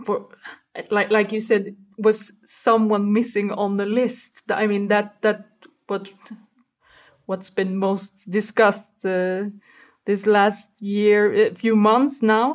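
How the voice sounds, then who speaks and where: In a Swedish accent, the voice moves at a very slow pace with long, frequent pauses and a monotone, flat intonation. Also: woman. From Sweden. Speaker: football podcast guest. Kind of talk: casual chat.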